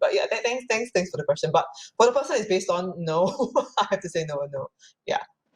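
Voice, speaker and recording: A woman speaks very fast, with lively intonation and a somewhat breathy sound. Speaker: playwright and performer. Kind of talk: panel discussion. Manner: halting.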